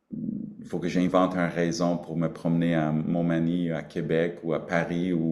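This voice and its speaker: A man's very deep, low voice at a very slow pace, with audible room echo. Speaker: Cree grand chief chairing regional council meeting. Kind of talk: council meeting speech. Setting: video conference. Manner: halting, many hesitations.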